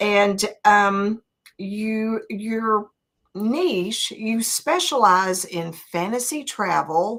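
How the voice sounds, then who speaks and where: A woman's medium-pitched voice with a Southern accent, very slow pace and ordinary pitch variation. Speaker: interview show host. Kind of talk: interview.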